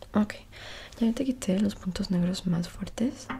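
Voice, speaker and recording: A soft-spoken woman at a fairly slow pace, with ordinary pitch variation and light background noise. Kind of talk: ASMR roleplay, soft close talk. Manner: soft intimate ASMR voice. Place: home room. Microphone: earbuds.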